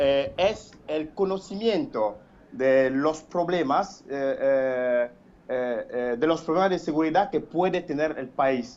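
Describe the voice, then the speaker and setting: Using lively intonation, a man speaks at a very slow pace with a fairly high pitch. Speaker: caller. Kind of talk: phone-in opinion. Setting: phone call. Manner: halting, many fillers and repetitions.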